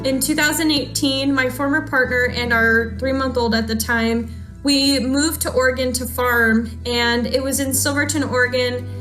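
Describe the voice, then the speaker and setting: Female speech amid noticeable background noise, the room echo audible. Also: moderate pace, hardly any pauses. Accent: American. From Arizona. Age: 20s. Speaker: scholarship recipient, cheesemaker. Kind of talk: prepared thank-you speech.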